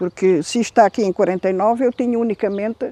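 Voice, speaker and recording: A woman's voice is heard in a dry, close recording with no echo. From central Portugal, Ferreira do Zêzere. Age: 70s. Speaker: elderly local resident interviewed about her village. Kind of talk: oral history interview. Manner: halting.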